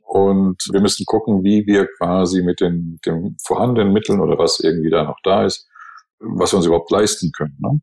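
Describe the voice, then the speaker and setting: A man with an ordinary speaking voice, fairly low in pitch, with ordinary pitch variation and a moderate pace. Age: 60s. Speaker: podcast co-host, advertising agency owner. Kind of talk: casual chat.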